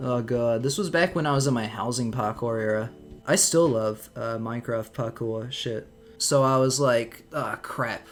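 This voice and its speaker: A man's medium-pitched voice at a moderate pace with ordinary pitch variation, music playing in the background. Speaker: YouTube commentator. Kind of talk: commentary over own old video. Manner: casual, profane.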